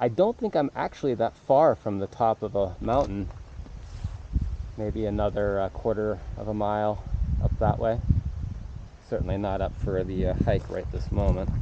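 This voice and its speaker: A man with a fairly low pitch and ordinary pitch variation speaks with long, frequent pauses, the sound dry with no echo and noticeable background noise behind him. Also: moderate pace. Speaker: rider vlogger. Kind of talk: casual vlog chat. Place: forest. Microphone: phone near.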